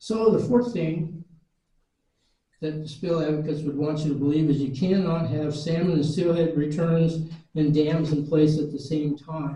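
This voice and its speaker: A man's fairly high pitch and dark, mellow tone, at a moderate pace with fairly even intonation. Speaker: retired fisheries worker. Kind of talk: public lecture presentation. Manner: dry humor.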